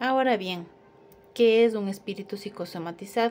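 The pace is moderate, with ordinary pitch variation. Light background noise sits behind the voice. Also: woman. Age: 30s. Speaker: accounting student. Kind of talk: class presentation. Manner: slightly halting. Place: home room. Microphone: phone near.

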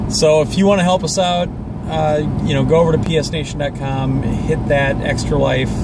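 A man talks at a moderate pace. The sound is dry with no echo, over loud background noise. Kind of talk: casual vlog chat. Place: car. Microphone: phone near.

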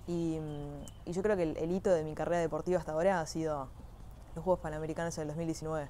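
A woman's very deep, low voice with a Uruguayan accent, dark and mellow in tone, monotone and flat, at a very fast pace broken by long, frequent pauses, over light background noise. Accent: Rioplatense Spanish (Uruguayan). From Uruguay, Montevideo area. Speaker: equestrian athlete (dressage). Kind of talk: personal testimony.

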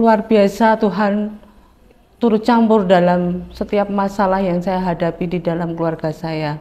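With fairly even intonation, this woman takes a fairly slow pace. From Central Java. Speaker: churchgoer giving a testimony. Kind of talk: testimony; personal testimony. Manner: halting. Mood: earnest, calm. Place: studio. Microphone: lapel.

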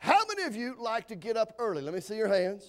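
Animated and fairly quick, a man speaks at an extremely high pitch with very wide swings. The background is quiet. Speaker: visiting preacher. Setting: church, evening revival service with congregation. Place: church.

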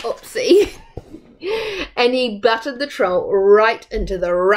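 Someone is simply reading aloud in a plain way.

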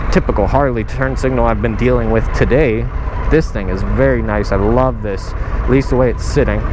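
The speech moves at a moderate pace in a dry sound with no echo, over noticeable background noise. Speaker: motorcycle rider reviewing bike. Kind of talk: casual ride commentary. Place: motorbike. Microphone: helmet.

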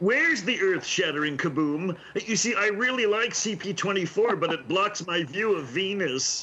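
Putting on a character voice, a man speaks high and pompous, with hardly any pauses. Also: moderate pace. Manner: pompous, comedic.

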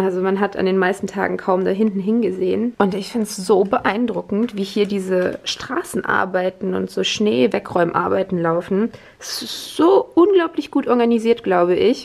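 A woman's voice with hardly any pauses and ordinary pitch variation. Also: moderate pace. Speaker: vlogger. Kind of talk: casual vlog chat. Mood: impressed, chatty. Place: home room. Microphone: phone near.

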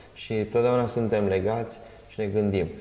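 A man's voice with audible room echo. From Romania. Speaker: talk show host. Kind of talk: interview. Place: studio.

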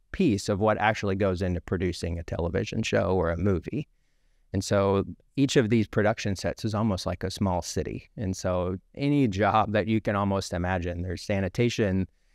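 A normal speaking voice at a fairly quick pace, with ordinary pitch variation, a dry sound with no echo and a quiet background. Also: man, fairly low pitch for a man. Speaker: guest. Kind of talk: interview answer. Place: studio. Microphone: studio mic.

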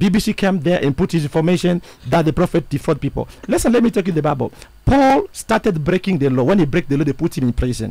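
A man at high pitch with a dark, mellow tone, very wide pitch swings, a very fast pace and a dry sound with no echo. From DR Congo. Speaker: self-styled prophet, church founder; guest. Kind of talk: interview. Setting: radio studio. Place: studio. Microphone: studio mic.

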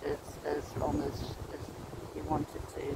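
A woman in a dry recording with no echo and loud background noise. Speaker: walking vlogger. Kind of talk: casual vlog chat. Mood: relaxed, content. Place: forest. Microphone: phone near.

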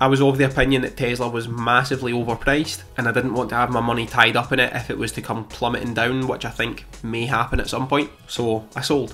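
Faint music sits in the background as a man talks at a very fast pace. He uses hardly any pauses and a monotone, flat intonation. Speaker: finance youtuber. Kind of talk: portfolio update vlog. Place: home room. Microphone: studio mic.

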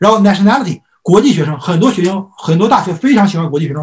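A man's high-pitched voice with lively intonation against a quiet background. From immigrated to US at age 3-4, grew up in US. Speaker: college admissions consultant; presenter. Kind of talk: lecture. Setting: online lecture. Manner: frequent filler hesitations. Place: home room.

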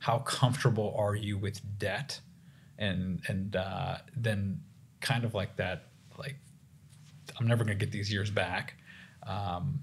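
An American-accented man speaks at a fairly slow pace in a fairly low, somewhat breathy voice. His pitch varies in an ordinary way. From US South. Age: 30s. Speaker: family physician; guest. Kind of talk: casual chat. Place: studio. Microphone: studio mic.

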